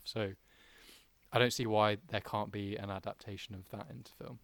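The man speaks with a British accent, captured with a dry, close sound and no echo. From UK. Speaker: film podcast co-host. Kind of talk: casual chat.

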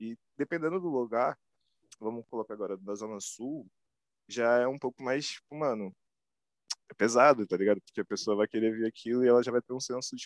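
In a dry, close sound with no echo, a man uses an ordinary speaking voice at medium pitch, talking at a fairly quick pace with ordinary pitch variation. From Brazil, Rio de Janeiro West Zone. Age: 20s. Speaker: self-taught visual artist. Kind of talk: interview. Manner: casual slang-heavy.

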